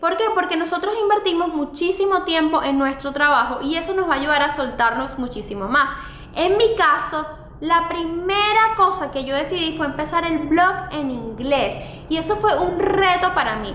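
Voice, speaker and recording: Extremely high-pitched female voice, lively intonation and moderate pace, with noticeable background noise and audible room echo. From Venezuela. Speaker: fashion blogger and YouTuber. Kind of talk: vlog advice talk.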